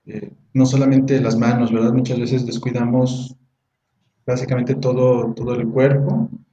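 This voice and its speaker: His intonation fairly even, a man talks at a medium pitch. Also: moderate pace. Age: 20s. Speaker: teacher and beauty products seller. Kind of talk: casual educational chat. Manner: halting, repeats words.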